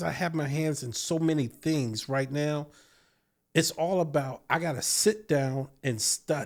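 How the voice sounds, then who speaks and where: Recorded very cleanly over a silent background, a man with an American accent uses a plain, everyday voice, fairly high in pitch with ordinary pitch variation. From Virginia, US. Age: 50s. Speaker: beekeeper and entrepreneur. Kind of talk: casual interview chat.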